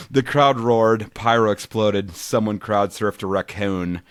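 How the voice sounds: Intonation in this natural reading voice is fairly even.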